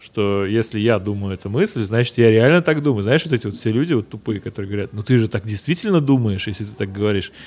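Speaking at a very fast pace with hardly any pauses, a man uses a fairly low pitch and ordinary pitch variation. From Russia, St Petersburg. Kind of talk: casual chat.

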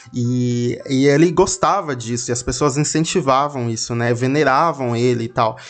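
A man talks at a moderate pace with a Brazilian accent and ordinary pitch variation. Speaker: podcast host. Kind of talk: casual storytelling monologue.

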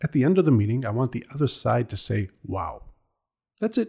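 In a dry, close sound with no echo, a man speaks at a moderate pace with a medium pitch, a dark, mellow tone and a somewhat breathy quality. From Israel. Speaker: cross-cultural consultant and military diplomat. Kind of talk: interview podcast.

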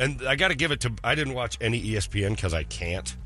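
Music plays in the background as a man speaks at a moderate pace. His fairly low pitch makes very wide swings. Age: 50s. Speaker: radio host. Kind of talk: casual chat. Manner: animated.

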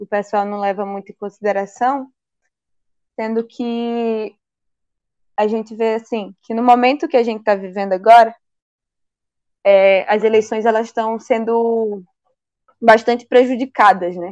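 A woman with a fairly high pitch speaks fairly slowly, her intonation fairly even and her loudness swinging widely. She leaves long, frequent pauses against a quiet background. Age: 20s. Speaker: mayoral candidate, activist. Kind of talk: interview.

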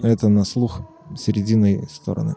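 Music plays in the background. Over it, a man speaks in a fairly low voice. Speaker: synthesizer maker. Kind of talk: interview.

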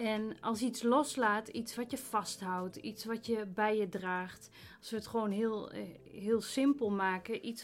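Intonation stays fairly even as a woman speaks at a very slow pace. Her pitch is fairly high. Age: 30s. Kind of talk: faith testimony interview.

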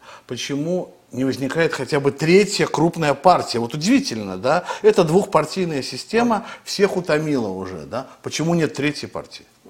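This man talks at a moderate pace with hardly any pauses, his fairly high pitch swinging very widely. His loudness shifts a lot, and there is noticeable background noise. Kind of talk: interview discussion on politics. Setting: studio.

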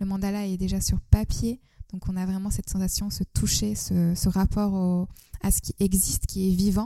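The tone is dark and mellow, delivered at a moderate pace. Intonation stays flat and monotone. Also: woman, medium pitch for a woman. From Turkey, Istanbul. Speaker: artist and yoga teacher. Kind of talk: interview. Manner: hesitant, many fillers.

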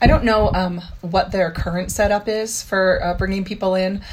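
Over noticeable background noise, a woman with a medium pitch talks at a moderate pace with fairly even intonation. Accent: American. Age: 50s. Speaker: parkour practitioner and music teacher. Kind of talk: interview.

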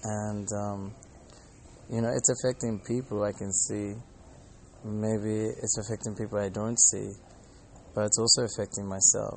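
A man with an Australian accent, fairly low-pitched and monotone with flat intonation, at a moderate pace with long, frequent pauses. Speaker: Hare Krishna devotee and monk. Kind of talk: casual monologue vlog. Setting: airport.

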